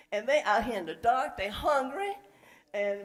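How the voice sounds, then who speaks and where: A woman talks at a moderate pace while noticeable background noise plays behind her. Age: 60s. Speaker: public commenter. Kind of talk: public comment at a meeting.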